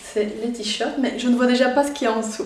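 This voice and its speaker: A woman with a Belgian accent at a moderate pace, amid audible room echo and noticeable background noise. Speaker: YouTuber. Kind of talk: unboxing video.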